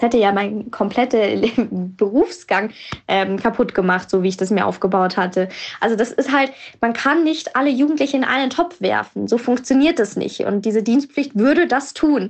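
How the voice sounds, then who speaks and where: A woman with a normal speaking voice and fairly high pitch speaks at a moderate pace, her intonation lively and her loudness very even. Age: 20s. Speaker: young journalist and blogger. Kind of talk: voice messages. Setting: voice message recording.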